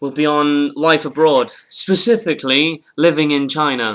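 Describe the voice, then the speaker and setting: A man's fairly high, bright and sharp voice in a British accent at a fairly slow pace, on a very clean recording with a silent background. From northern England. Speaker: comedian, podcast host. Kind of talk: casual chat. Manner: animated.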